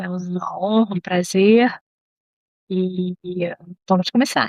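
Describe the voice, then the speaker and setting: Speaking at a very slow pace, a woman with a medium pitch keeps fairly even intonation but makes big swings in loudness, in a dry, close sound with no echo. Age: 60s. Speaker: psychologist. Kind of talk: interview.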